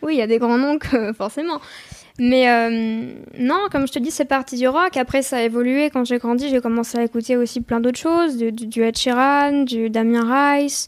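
A woman speaks at a high pitch with fairly even intonation. Her pace is moderate. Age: 20s. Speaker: singer-songwriter. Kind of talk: interview. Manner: hesitant.

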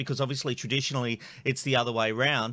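A man speaks with an Australian accent. His tone is bright and sharp. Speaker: podcast host. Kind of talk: casual chat; interview.

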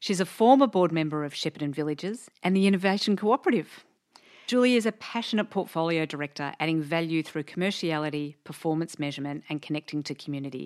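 A woman with an Australian accent, fairly low-pitched, at a very fast pace, on a very clean recording with a silent background. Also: lively intonation. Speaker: podcast host. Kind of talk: interview.

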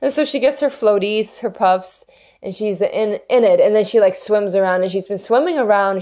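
A woman with a Swedish accent, medium pitch, ordinary pitch variation, and a fairly quick pace. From Sweden. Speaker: spiritual podcast host. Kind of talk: solo monologue podcast. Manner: halting.

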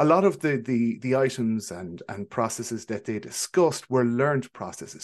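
A man with an Irish accent, medium pitch, lively intonation and a fairly quick pace, over a quiet background. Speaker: psychologist. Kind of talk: podcast interview.

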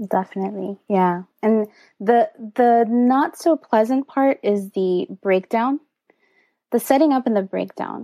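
In a Miami accent, a woman speaks at a fairly slow pace with a fairly high pitch, ordinary pitch variation and a dark, mellow tone, the sound dry and close with no echo. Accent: Miami American English. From US, Miami, Florida. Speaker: DJ. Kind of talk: interview conversation. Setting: home studio, remote call.

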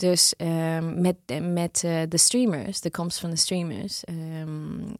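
In a dry, close recording with no echo, a woman with a non-native accent talks very slowly in a fairly low pitch with fairly even intonation. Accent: non-native Dutch, noticeable. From Australia. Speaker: music supervisor. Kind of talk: interview. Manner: halting, many fillers.

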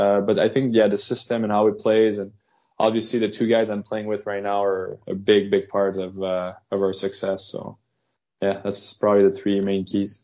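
Flat and monotone, a man with a French Canadian accent speaks in a fairly low voice. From Quebec, Canada. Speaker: professional hockey player. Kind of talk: casual interview.

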